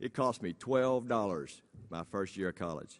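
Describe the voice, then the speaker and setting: In a Texan accent, a man talks at a moderate pace with a fairly low pitch and ordinary pitch variation. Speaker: school principal. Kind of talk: campaign speech. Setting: stage with audience.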